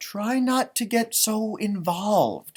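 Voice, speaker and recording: A man does a put-on character voice with a high pitch, speaking at a fairly slow pace with fairly even intonation. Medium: read story.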